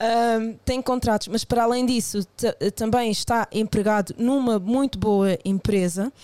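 A woman, a normal speaking voice, at a fairly slow pace, with very even loudness and fairly even intonation. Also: fairly high pitch for a woman, dry, close sound with no echo. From Portugal, of Angolan family. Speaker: podcast guest. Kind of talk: casual chat.

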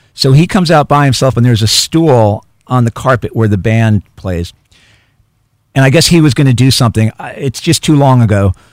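Here is a normal speaking voice with lively intonation and a fairly quick pace. The sound is dry and close, with no echo. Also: man. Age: 50s. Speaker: author and journalist. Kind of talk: radio interview. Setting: radio studio.

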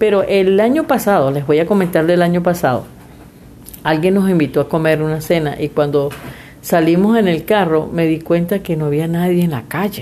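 A woman's dark, mellow, fairly low voice at a moderate pace with ordinary pitch variation. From Venezuela. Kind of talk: casual faith chat.

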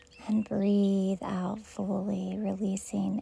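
The voice has a soothing tone and a very slow pace. Noticeable background noise runs underneath. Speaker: meditation guide. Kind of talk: guided meditation. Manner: slow, soothing, gently paced with long pauses; warm, calm, soft-spoken.

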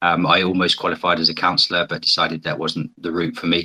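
A man speaks with a British accent at a very deep, low pitch. His tone is bright and sharp. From Britain. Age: 40s. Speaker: guest, challenge participant. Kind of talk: interview conversation, personal reflection. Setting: online audio space. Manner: reflective, hesitant.

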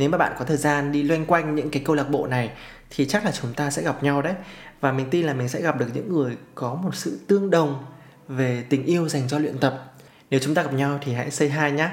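Fairly high male voice at a fairly quick pace, with fairly even intonation and audible room echo. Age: 30s. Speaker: podcast host. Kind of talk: solo podcast monologue.

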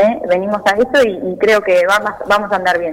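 Music plays in the background as a woman with a fairly high pitch speaks at a fairly quick pace with ordinary pitch variation. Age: 20s. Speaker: local political candidate. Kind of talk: radio interview.

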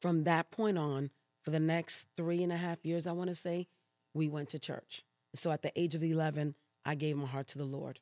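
A woman speaks with a dark, mellow tone and a very deep, low pitch. The sound is dry and close, with no echo. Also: moderate pace, very clean recording, silent background. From New York City (Brooklyn, Queens), Puerto Rican family. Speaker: pastor. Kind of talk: interview testimony.

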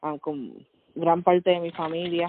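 Speaking at a very slow pace, a woman keeps her fairly low voice at a fairly even intonation. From Puerto Rico (San Juan metro area). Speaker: podcast co-host. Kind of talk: casual chat.

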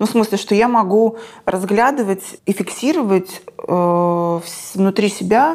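A woman speaks at a very slow pace. Her voice is medium in pitch, with ordinary pitch variation. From Krasnodar, southern Russia. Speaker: screenwriter and film director. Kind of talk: interview conversation.

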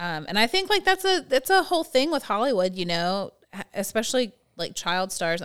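A woman uses a plain, everyday voice with lively intonation at a moderate pace, on a very clean recording with a silent background. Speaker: podcast co-host, works with teens. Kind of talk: casual chat.

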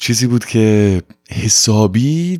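A dry, close sound with no echo on a very clean recording with a silent background. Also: man. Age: 20s. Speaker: podcast host. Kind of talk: personal storytelling monologue. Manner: casual, mixing Persian and English.

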